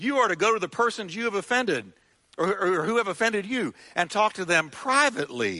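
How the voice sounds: Reading in a natural reading voice, the speaker uses ordinary pitch variation.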